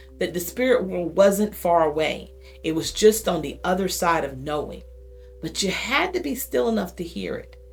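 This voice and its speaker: With music in the background, a woman speaks at a moderate pace with an American accent. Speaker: storyteller. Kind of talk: personal storytelling to camera.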